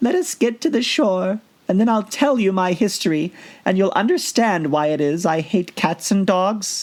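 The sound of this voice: A shaky, put-on character voice at a middle pitch moves along at a moderate pace.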